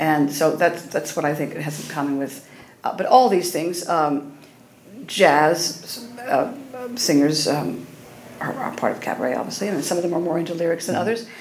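Speaking with an American accent at a moderate pace, a woman has a fairly low voice, with audible room echo and noticeable background noise. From Oklahoma. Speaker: cabaret singer. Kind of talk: interview.

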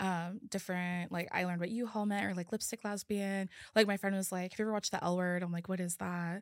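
A woman with an American accent at a medium pitch, very fast pace and hardly any pauses, monotone, flat intonation, dry, close sound with no echo, and a very clean recording with a silent background. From California. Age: 20s. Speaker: podcaster. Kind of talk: casual chat.

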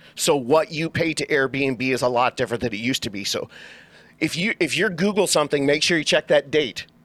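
Using an ordinary speaking voice, a man with an American accent talks at a fairly quick pace with lively intonation and fairly high pitch, in a dry, close sound with no echo. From Southern California, Orange County. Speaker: real estate agent. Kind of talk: casual interview.

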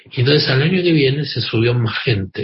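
Talking at a fairly quick pace, a man uses a normal speaking voice of medium pitch with ordinary pitch variation. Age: 50s. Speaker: activist and journalist. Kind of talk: radio interview.

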